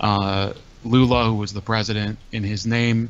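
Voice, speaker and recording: A man talks at a fairly slow pace. The sound is dry, with no echo. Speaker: call-in show host. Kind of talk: commentary. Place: home room. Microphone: studio mic.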